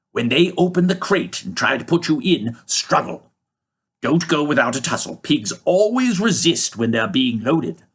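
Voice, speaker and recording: Putting on a character voice, a man speaks at a moderate pace with a fairly high pitch. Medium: read story. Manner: brisk, commanding.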